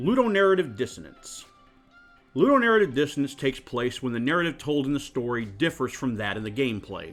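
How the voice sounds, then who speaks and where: Over music in the background, a man speaks at a very fast pace at a medium pitch, with very wide pitch swings. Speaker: card game player. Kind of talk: casual rant to camera. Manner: crotchety.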